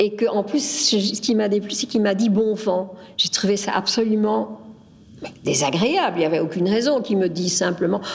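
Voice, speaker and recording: Against noticeable background noise, a woman talks at a medium pitch and moderate pace with ordinary pitch variation. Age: 70s. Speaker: interviewee, local resident. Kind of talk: testimony. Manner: halting.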